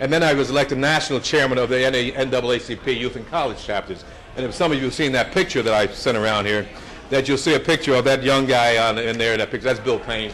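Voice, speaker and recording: Very fast speech from a man with an American accent, medium pitch and ordinary pitch variation, over noticeable background noise. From New Jersey. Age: 70s. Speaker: state politician and civil rights activist. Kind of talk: speech to an audience. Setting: brunch event with audience. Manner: conversational, with many fillers and repetitions.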